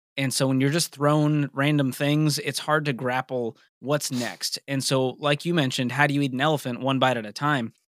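A man with an American accent and an unremarkable speaking voice talks at a moderate pace, fairly high in pitch with fairly even intonation, in a very clean recording with a silent background and a dry, close sound with no echo. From US Northeast, Boston. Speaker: personal finance radio cohost. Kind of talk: podcast interview.

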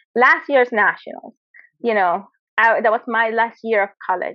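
With a Spanish accent, a woman speaks at a moderate pace in a fairly high pitch. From Venezuela. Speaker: Olympic competitive shooter. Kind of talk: interview. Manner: animated.

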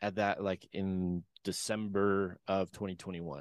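Dry and close with no echo, a man's voice comes at a moderate pace on a very clean recording with a silent background. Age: 20s. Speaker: drug addict in recovery sharing his story. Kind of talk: interview testimony. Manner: halting, many fillers.

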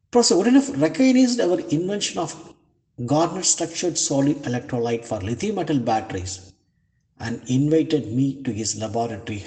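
A man with an Indian accent talks at a fairly quick pace, his intonation lively. His tone is dark and mellow, and somewhat breathy. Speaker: professor, materials scientist. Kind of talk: prepared testimonial.

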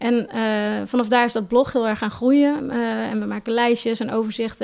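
A woman talks at a fairly quick pace, her fairly high pitch held in a monotone, flat intonation. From Nijmegen, Netherlands. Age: 20s. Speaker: advertising blogger. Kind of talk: casual chat.

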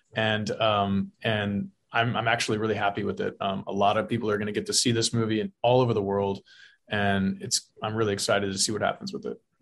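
Against a quiet background, a man with a Texan accent speaks at a fairly quick pace. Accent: Texan American. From South Texas. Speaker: film director. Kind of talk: interview. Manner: halting, many fillers.

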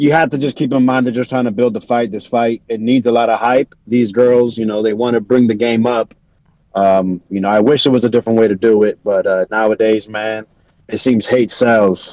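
A man speaks in a normal speaking voice, keeping a moderate pace, a medium pitch and fairly even intonation. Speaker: boxing commentator calling in. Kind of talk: casual chat. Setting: video call.

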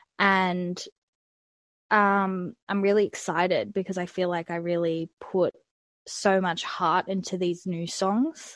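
A woman with an Australian accent speaks at a very slow pace, medium in pitch and monotone, with flat intonation. The sound is dry and close with no echo, over a quiet background. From Australia, Melbourne. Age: 20s. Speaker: singer-songwriter. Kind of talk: interview. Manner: hesitant, many fillers.

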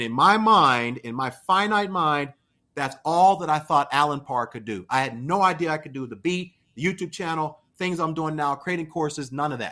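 In an American accent, a man talks at a moderate pace with a fairly high pitch and ordinary pitch variation. His tone is bright and sharp, and the recording is very clean with a silent background. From Pittsburgh, Pennsylvania. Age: 40s. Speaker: pastor and YouTuber. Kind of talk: casual interview.

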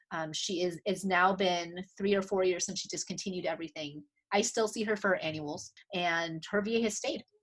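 This woman has a medium pitch and ordinary pitch variation. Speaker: optometrist and clinical professor. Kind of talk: interview. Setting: video call. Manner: fast.

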